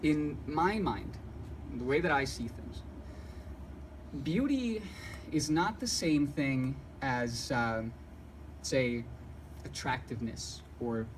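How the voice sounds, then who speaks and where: Audible room echo hangs on the voice of a man as he speaks. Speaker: painter and art teacher. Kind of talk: talk to an audience. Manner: fast; jittery.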